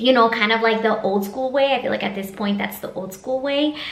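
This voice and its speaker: A woman speaks at a fairly high pitch with ordinary pitch variation. Noticeable background noise and audible room echo come through. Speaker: vlogger, master's student. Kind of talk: casual vlog talk to camera. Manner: casual, filler-heavy.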